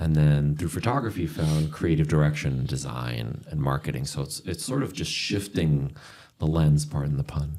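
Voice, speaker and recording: A man speaks with a very deep, low pitch and a dark, mellow tone. His pace is moderate and his pitch varies in an ordinary way. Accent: New York. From New York City area, born in Argentina. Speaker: creative director and sake expert. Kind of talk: casual podcast chat.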